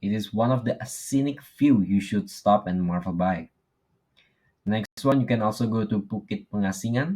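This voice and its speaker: A fairly low-pitched man in an Indonesian accent at a fairly slow pace, recorded very cleanly against a silent background. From Indonesia, Lombok. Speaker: university student. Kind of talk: class presentation. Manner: halting.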